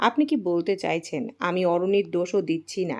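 Natural read-aloud voice with ordinary pitch variation.

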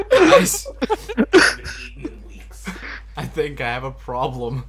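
A man performs a put-on character voice at a moderate pace, with clear background noise. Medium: role play.

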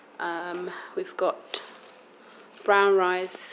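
A woman speaks over noticeable background noise. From London, England. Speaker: vlogger. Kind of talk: casual vlog talk to camera. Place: home room. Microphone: phone near.

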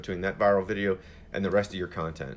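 A man talks at a very fast clip. His voice sits fairly low in pitch. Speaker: social media coach. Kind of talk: live Q&A answer. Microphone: phone near.

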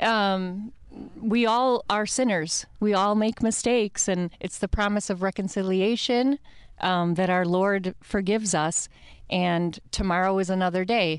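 A woman with a Midwestern American accent speaks at a fairly slow pace in a medium-pitched voice, her intonation fairly even and loudness very even, with a quiet background and a dry sound with no echo. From US Midwest. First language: Italian. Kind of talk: radio interview. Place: studio. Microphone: studio mic.

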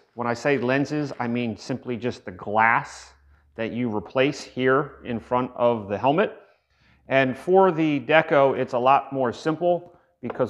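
Fairly slow male speech with ordinary pitch variation against a quiet background. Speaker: product reviewer. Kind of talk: product review tutorial. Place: workshop.

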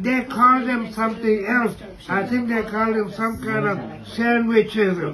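Through noticeable background noise, a man's raised, projected voice comes at a moderate pace, high in pitch and monotone, with flat intonation. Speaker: elderly motel resident. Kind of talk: casual conversation. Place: home room. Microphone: phone near.

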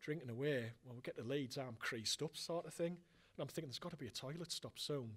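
Somewhat breathy, a man with a Teesside accent speaks with ordinary pitch variation. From northern England. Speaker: football fan presenter; presenter. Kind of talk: casual chat. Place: hall. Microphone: handheld.

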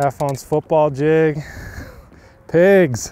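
A man's dark, mellow tone at a very slow pace.

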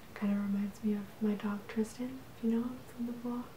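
Soft-spoken, a woman whispers amid light background noise and audible room echo. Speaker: ASMR creator. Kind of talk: ASMR show-and-tell. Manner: whispering. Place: home room.

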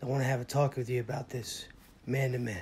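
Putting on a character voice, a man talks at a very fast pace in a raspy, medium-pitched voice with monotone, flat intonation, over light background noise. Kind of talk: dramatic reenactment dialogue. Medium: voice reel. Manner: earnest, principled. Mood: earnest.

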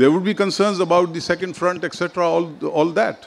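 This man speaks at a high pitch. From Pakistan. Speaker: retired diplomat; guest. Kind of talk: panel discussion. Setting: stage with audience. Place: stage. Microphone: handheld.

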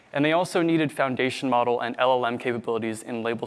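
His intonation is fairly even. The man keeps a fairly quick pace. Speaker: conference presenter. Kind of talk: technical talk. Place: hall.

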